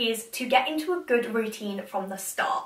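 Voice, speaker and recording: A woman speaks with a British accent. Noticeable background noise can be heard. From England. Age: young. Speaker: university student. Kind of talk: casual talk to camera.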